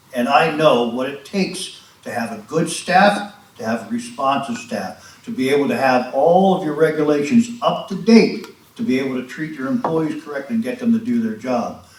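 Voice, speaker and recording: Pitch swinging very widely, a man speaks at a moderate pace amid noticeable background noise and audible room echo. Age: 70s. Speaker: resident speaking at public comment. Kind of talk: public comment at township meeting. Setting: township board meeting. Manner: impassioned.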